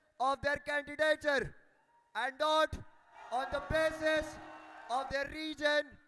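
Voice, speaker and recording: A man speaks at an extremely high pitch with a Marathi accent, his bright, sharp voice raised and projected at a fairly slow pace in a dry, close sound with no echo. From India, Amravati, Maharashtra. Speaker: student election candidate. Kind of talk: election debate, grilling by panel. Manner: formal.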